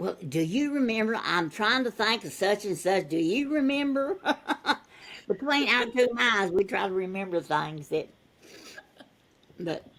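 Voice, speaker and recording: Long, frequent pauses and very wide pitch swings in a Texas accent. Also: woman, medium pitch for a woman. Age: 90s. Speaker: interviewee, retired volunteer. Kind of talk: casual interview chat. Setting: video call. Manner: talkative.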